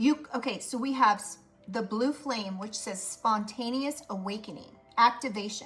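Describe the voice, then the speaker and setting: A woman speaks over noticeable background noise. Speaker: tarot reader. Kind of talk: tarot reading. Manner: monotone; hesitant, repetitive.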